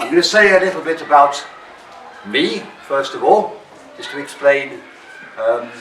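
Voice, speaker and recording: Talking at a fairly slow pace with long, frequent pauses, a man's loudness swings widely amid audible room echo and noticeable background noise. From England (London). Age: 70s. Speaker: drama teacher. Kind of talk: workshop talk to students.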